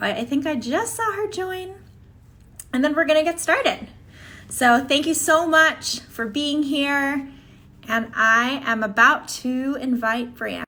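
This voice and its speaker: In a raised, projected voice, a woman with a high pitch and a bright, sharp tone speaks at a very slow pace with lively intonation. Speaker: podcast host. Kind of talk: interview host questions.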